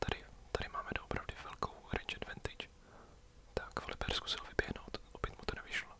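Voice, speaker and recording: A man is whispering at a moderate pace with noticeable background noise behind him. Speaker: ASMR gaming youtuber. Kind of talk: whispered gameplay commentary. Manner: halting.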